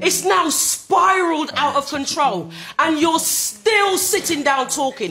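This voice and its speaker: A woman speaks in an angry tone at a fairly slow pace while music plays in the background. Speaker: grandmother. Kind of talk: angry public plea to politicians, impassioned speech. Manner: angry, emotional, fed up.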